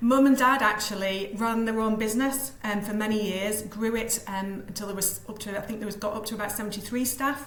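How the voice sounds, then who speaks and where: Speaking fairly quickly with hardly any pauses, a woman with a Yorkshire accent is heard over noticeable background noise and audible room echo. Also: fairly high pitch for a woman, fairly even intonation. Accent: Yorkshire twang, still present. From Yorkshire, Leeds. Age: 50s. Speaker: business coach and mentor. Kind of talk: podcast interview.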